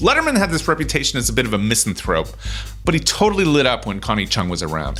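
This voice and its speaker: A man talks at a very fast pace. Behind him, music plays in the background. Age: 40s. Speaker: podcast host. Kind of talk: interview; scripted narration. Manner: halting.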